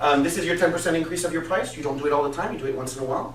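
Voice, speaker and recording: Over noticeable background noise and audible room echo, a man talks very fast in a fairly high voice. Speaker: business coach. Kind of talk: business presentation. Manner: animated.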